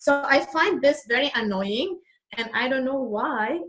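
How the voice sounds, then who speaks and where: A woman with a Lebanese accent and lively intonation. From Lebanon. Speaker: real estate agent, immigrant. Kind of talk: interview.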